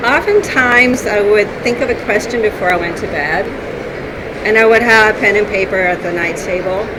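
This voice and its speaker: A woman with a fairly high pitch and ordinary pitch variation speaks at a moderate pace, with audible room echo and noticeable background noise. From northern Sweden. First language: Swedish. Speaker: author. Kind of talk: interview. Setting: conference floor, noisy.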